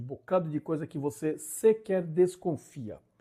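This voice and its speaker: Over a very clean, silent background, a man's fairly high voice comes through somewhat breathy, with a dark, mellow tone. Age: 60s. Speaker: YouTuber, driver commentator. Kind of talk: casual vlog monologue. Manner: animated; halting.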